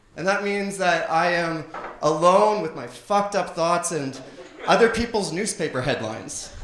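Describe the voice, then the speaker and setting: A man's high-pitched voice with a Canadian accent, ordinary pitch variation, and a moderate pace, amid audible room echo and noticeable background noise. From Canada. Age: 30s. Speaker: stand-up comedian. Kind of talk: stand-up. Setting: stage with audience.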